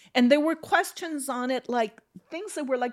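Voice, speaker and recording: The speaker has a Spanish accent and lively intonation. The pace is moderate. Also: woman. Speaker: retired teacher and union activist. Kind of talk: casual interview chat.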